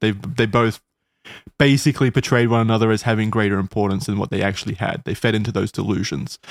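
A man with an Australian accent speaks very fast at a fairly low pitch with ordinary pitch variation, on a very clean recording with a silent background. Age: 20s. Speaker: podcast host and writer. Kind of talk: casual chat with storytelling. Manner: dramatic storyteller.

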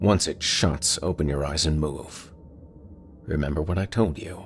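A man speaks in a very deep, low voice, somewhat breathy and menacing in tone. His pace is fairly slow, with ordinary pitch variation. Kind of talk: horror story monologue. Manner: menacing, taunting.

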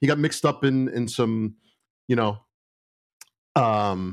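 With a New York accent, a man talks at a moderate pace in a fairly low pitch and ordinary pitch variation. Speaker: retired police lieutenant. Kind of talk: casual interview storytelling. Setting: video call.

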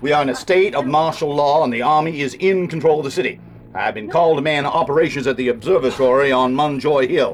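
Amid clear background noise, a man does a gruff, put-on character voice at a very fast pace, his pitch fairly high and his intonation fairly even. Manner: commanding, curt, gruff.

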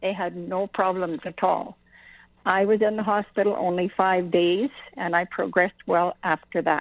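Speaking at a moderate pace with fairly even intonation, a woman with a Canadian accent has a plain, everyday voice at a medium pitch. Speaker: cancer patient. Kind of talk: personal testimony on radio. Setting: phone call.

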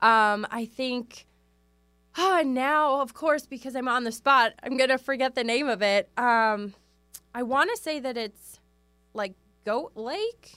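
Her voice raised and projected, a woman with an American accent speaks at a high pitch with a bright, sharp tone, ordinary pitch variation, a fairly slow pace and long, frequent pauses. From US Midwest, Wisconsin. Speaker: branding photographer. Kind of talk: interview.

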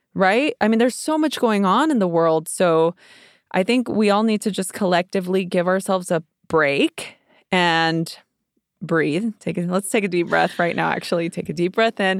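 In a very clean recording with a silent background, a woman with an ordinary speaking voice talks at a moderate pace with lively intonation and very even loudness. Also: medium pitch for a woman, dry, close sound with no echo. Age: 40s. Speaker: meditation teacher. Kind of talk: casual chat.

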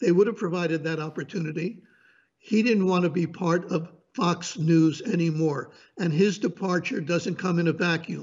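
Moderate pace and ordinary pitch variation. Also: man, high pitch for a man. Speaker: media commentator. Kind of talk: political commentary interview. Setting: remote from North Carolina mountains.

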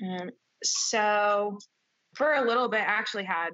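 In an ordinary speaking voice, a woman talks at a fairly slow pace with ordinary pitch variation. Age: 30s. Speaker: MMA fighter. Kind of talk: interview.

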